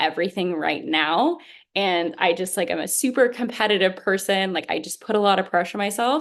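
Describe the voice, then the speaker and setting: At a fairly quick pace and medium pitch, a woman speaks with ordinary pitch variation over a quiet background. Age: 20s. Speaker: youth activist and panelist. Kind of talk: panel discussion. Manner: fast.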